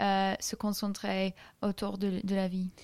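A woman with an English accent is heard on a very clean recording with a silent background. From England, Solihull near Birmingham. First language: English (speaking French). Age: 20s. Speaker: student. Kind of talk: casual interview. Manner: halting.

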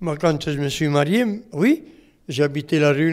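In an Italian accent, a man talks at a very slow pace. His pitch is fairly high and varies in an ordinary way. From Italy. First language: Italian (speaking French). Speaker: retired mason, retirement home resident. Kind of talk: oral history interview. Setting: retirement home.

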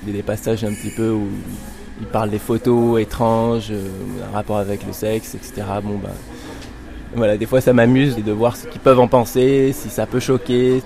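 Over music in the background, a man speaks at a medium pitch in a flat monotone at a moderate pace, with big swings in loudness and long, frequent pauses. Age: 30s. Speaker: sound creator, technician. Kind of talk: interview. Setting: home studio.

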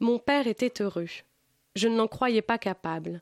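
The recording is very clean, with a silent background and a dry, close sound lacking any echo. A woman speaks with lively intonation. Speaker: book columnist. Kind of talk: reading aloud. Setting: studio.

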